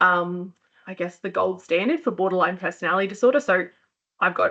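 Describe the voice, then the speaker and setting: A woman's bright, sharp voice moves at a fairly quick pace with ordinary pitch variation. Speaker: occupational therapist, clinic founder. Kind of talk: professional webinar talk. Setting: live webcast session. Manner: fast.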